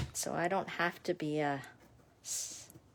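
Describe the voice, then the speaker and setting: A woman mumbles in a Canadian accent. The recording is very clean, with a silent background. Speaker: craft demonstrator. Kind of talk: live craft tutorial. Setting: livestream at home desk. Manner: chatty, mumbles to herself.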